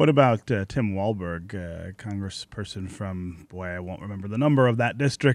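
This man has an ordinary speaking voice and an American accent, with ordinary pitch variation at a moderate pace. The recording is very clean, with a silent background. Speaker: radio host. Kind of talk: radio talk show. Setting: studio.

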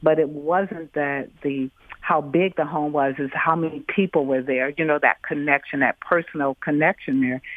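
A moderate pace with hardly any pauses, in an American accent. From US Midwest, Detroit. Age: 60s. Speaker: radio caller. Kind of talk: call-in conversation. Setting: phone call.

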